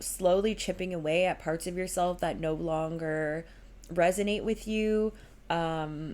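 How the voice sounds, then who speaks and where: Delivered in a normal speaking voice, the speech runs at a fairly slow pace with fairly even intonation. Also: woman, fairly low pitch for a woman. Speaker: tarot reader. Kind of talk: tarot reading monologue. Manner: casual, filler-heavy.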